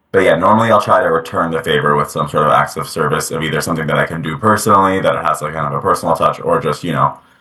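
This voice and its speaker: Speaking very fast with hardly any pauses, a man with an American accent talks over noticeable background noise. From US, New Jersey. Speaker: interviewee. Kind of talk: interview answers. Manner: casual, filler-heavy.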